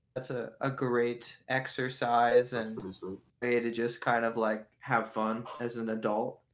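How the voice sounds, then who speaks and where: Very slowly and in a monotone, flat intonation, a man speaks at medium pitch. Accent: western Pennsylvania. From western Pennsylvania (near Pittsburgh). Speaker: musician. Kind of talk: interview.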